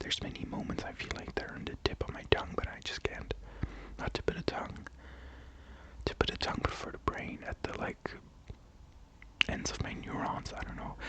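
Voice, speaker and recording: A woman's whisper, calm in tone and fairly quick, over noticeable background noise. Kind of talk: ASMR-style casual talk to camera, opinion commentary. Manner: soft, calm, whispered.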